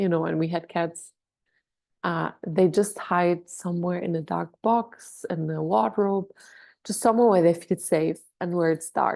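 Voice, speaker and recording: A woman talks at a fairly slow pace in a dark, mellow tone with fairly low pitch and ordinary pitch variation. The background is quiet. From Germany. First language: German. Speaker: doula. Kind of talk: online workshop. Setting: video call. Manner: hesitant, many fillers.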